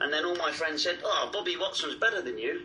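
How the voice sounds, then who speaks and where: A man's voice with music in the background. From Bristol, southwest England. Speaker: rock guitarist and singer. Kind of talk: interview. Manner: hesitant, many fillers and repetitions.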